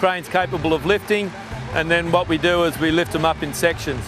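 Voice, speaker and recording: A man's high-pitched voice, dry with no echo, over clear background music. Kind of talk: interview answer. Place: open country. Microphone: lapel.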